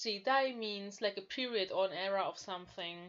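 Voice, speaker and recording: This woman speaks with a strong non-native accent. Her pace is fairly slow. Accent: thick non-native English. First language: not English. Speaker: language learner and YouTuber. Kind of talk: casual language-lesson talk to camera.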